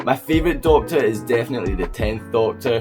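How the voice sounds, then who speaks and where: A man with a Scottish accent talking at a fairly quick pace, music in the background. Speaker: toy collector YouTuber. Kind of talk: collection review vlog. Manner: enthusiastic.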